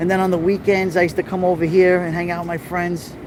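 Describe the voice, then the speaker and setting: With a Brooklyn accent and a high pitch, a man speaks at a fairly quick pace against noticeable background noise. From New York City, Little Italy. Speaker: live-streaming vlogger. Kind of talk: live stream walking tour. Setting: outdoors at street festival. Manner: animated.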